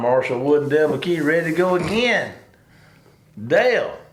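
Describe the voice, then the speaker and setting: A man with a Southern US accent talks at a fairly quick pace in a fairly high pitch, his intonation lively. Audible room echo surrounds him. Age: 60s. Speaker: sports radio co-host. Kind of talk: casual chat.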